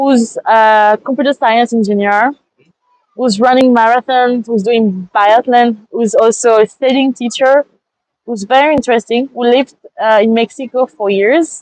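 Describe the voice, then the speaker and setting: The speaker has a French accent and ordinary pitch variation. The pace is fairly slow. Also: woman. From France. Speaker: master's student. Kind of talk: interview. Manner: halting.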